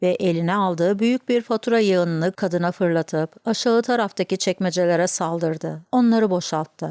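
An unforced reading voice, its pitch varying an ordinary amount

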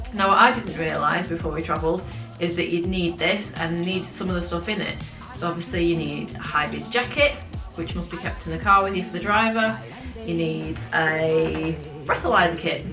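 Clear music plays in the background. A woman speaks over it at a moderate pace. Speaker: travel vlogger. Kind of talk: casual vlog chat. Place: home room.

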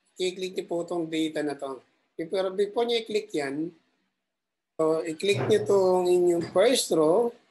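Over light background noise, a man speaks at a moderate pace in a high-pitched voice with a dark, mellow tone. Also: ordinary pitch variation. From Philippines. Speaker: ship officer teaching Excel tutorials. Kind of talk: tutorial. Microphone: webcam.

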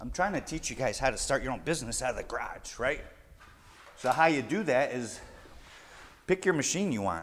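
A man speaks with very wide pitch swings. Light background noise is present. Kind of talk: tutorial. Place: garage. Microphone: lapel.

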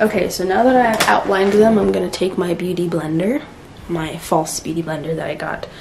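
A woman talking at a fairly quick pace, her pitch varying in an ordinary way, is heard against noticeable background noise. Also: fairly low pitch for a woman. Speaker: beauty vlogger. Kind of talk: casual vlog chat. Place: home room. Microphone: camera far.

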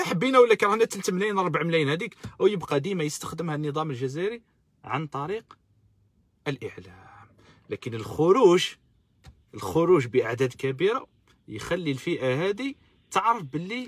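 The voice moves at a moderate pace with very wide pitch swings. Long, frequent pauses break up a dry sound with no echo. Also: man, high pitch for a man. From Algeria. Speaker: political activist live-streamer. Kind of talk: live-stream political commentary. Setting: live stream on social media. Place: car. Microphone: phone near.

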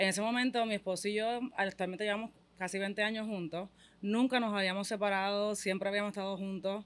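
A woman with a Puerto Rican accent, fairly quick pace and fairly even intonation. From Puerto Rico. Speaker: mother of a young athlete; interviewee. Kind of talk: casual interview. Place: studio. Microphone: studio mic.

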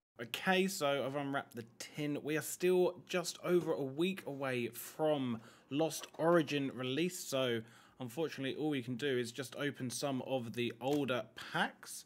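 At a moderate pace, a man uses an ordinary speaking voice with a fairly high pitch and ordinary pitch variation. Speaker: YouTube Pokemon card collector and pack opener. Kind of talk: casual talk to camera.

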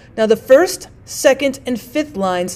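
Her pitch high and swinging very widely, a woman talks at a moderate pace. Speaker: teacher. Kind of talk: tutorial. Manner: formal.

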